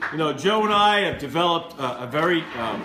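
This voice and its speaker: High-pitched male voice with lively intonation at a fairly slow pace, with audible room echo and noticeable background noise. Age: 50s. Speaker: event emcee. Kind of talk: introduction speech.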